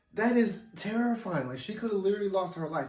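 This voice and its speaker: Against audible room echo, a man talks at a very fast pace with ordinary pitch variation. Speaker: movie reviewer. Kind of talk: casual monologue review. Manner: stammering, repetitive.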